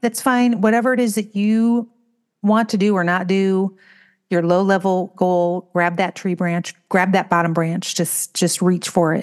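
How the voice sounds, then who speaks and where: A woman with a normal speaking voice talks at a fairly slow pace, her pitch medium and her intonation fairly even. Her loudness stays very even over a quiet background. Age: 50s. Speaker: podcast co-host. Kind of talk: casual chat.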